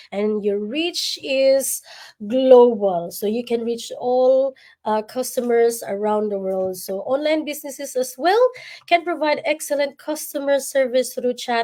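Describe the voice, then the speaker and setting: This woman speaks at a fairly slow pace with a Visayan Filipino accent. Her voice sits high, with ordinary pitch variation. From Philippines, Visayas (Bisaya). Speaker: livestream host, nurse and online business mentor. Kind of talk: livestream chat.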